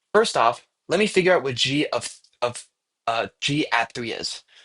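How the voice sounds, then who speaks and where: The sound is dry and close, with no echo. The tone is bright and sharp. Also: man. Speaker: math streamer and tutor. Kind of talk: live-streamed math tutorial. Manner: halting, self-correcting.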